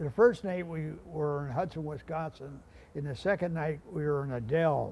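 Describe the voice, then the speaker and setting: This man has an American accent and a fairly high pitch. He speaks at a moderate pace, somewhat breathy, with ordinary pitch variation. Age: 80s+. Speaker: war veteran and riverboat captain. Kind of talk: interview. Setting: on a riverboat. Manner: halting, many repeats.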